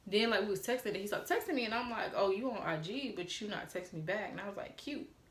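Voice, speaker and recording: With an American accent, a woman talks at a very fast pace with hardly any pauses, her fairly high pitch carrying lively intonation amid audible room echo and noticeable background noise. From Atlanta, Georgia, US South. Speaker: YouTuber. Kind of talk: storytime vlog. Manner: animated.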